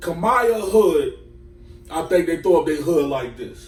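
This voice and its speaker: Over noticeable background noise, a man speaks at a high pitch. His pace is fairly slow and his pitch variation ordinary. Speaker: podcast host. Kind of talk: casual chat.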